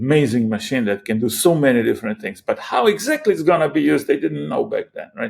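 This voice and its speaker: With a Croatian accent, a man speaks in a fairly high-pitched voice. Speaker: AI startup founder. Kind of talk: interview. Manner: halting, many repetitions.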